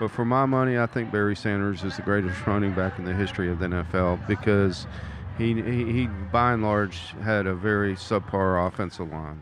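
A man speaks at a moderate pace with fairly even intonation and a fairly low pitch. Noticeable noise sits in the background. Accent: American. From US South, Mobile, Alabama. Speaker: sports fan co-commentator. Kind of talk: casual sports talk. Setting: live at a bar.

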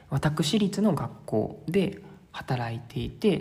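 Noticeable background noise sits behind a man's fairly high-pitched voice. His tone is relaxed. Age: 20s. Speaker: travel podcaster. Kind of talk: casual solo monologue. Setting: staying at a host family's house in Sintra. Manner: filler-heavy, relaxed. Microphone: strong echo.

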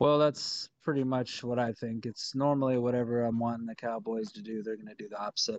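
An unremarkable speaking voice from a man with an American accent, medium pitch, fairly even intonation and a fairly quick pace, hardly any pauses, in a dry, close sound with no echo. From Texas. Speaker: podcast co-host. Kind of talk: casual chat.

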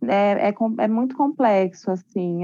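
A woman speaks at a very slow pace in a dark, mellow tone, recorded with a dry, close sound and no echo. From Guarujá, São Paulo coast, Brazil. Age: 30s. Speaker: teacher. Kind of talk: casual discussion on racism. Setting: video call. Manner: halting.

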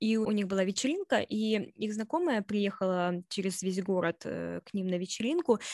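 In a very clean recording with a silent background, a woman has an unremarkable speaking voice at medium pitch, with ordinary pitch variation and hardly any pauses. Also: moderate pace. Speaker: podcast co-host. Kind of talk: casual chat.

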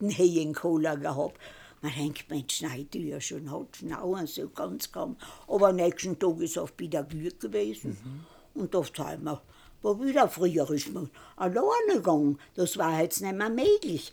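A woman talks at a fairly slow pace in a dark, mellow tone with lively intonation. The recording is very clean, with a silent background. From East Tyrol, Austria. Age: 90s. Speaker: retired mountain farmer and conservation activist. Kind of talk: life story interview. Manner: halting.

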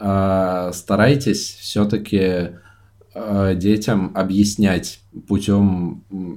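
A man's dark, mellow tone in a fairly low pitch. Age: 20s. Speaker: podcast co-host. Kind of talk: casual chat. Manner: hesitant, says 'uh' a lot.

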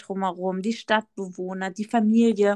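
A woman with a fairly high pitch and fairly even intonation speaks in a plain, everyday voice, with a dry, close sound and no echo. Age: 30s. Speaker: podcast co-host, dog owner with therapy dog. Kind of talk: casual chat.

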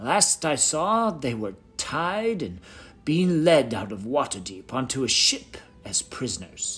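A man's put-on character voice at a fairly high pitch and a fairly slow pace, with music in the background. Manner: grave, gruff.

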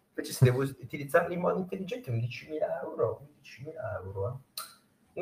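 A man speaks at a fairly quick pace. His fairly high voice swings very widely in pitch. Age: 30s. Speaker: news content creator. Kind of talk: casual interview chat. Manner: animated.

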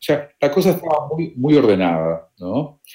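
A man is talking here. His pace is fairly slow. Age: 60s. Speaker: retired volunteer traveler. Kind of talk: interview. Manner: halting, repeats words.

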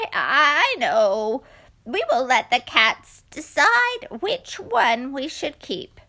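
A woman puts on a character voice pitched high. She speaks at a very slow pace with very wide pitch swings. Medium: read story.

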